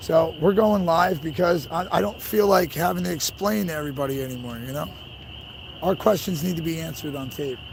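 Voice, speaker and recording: The man's loudness swings widely. Audible room echo surrounds his voice. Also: fairly high pitch for a man. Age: 30s. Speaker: livestreamer at protest convoy. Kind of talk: casual live-stream talk to chat. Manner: casual, repetitive with fillers.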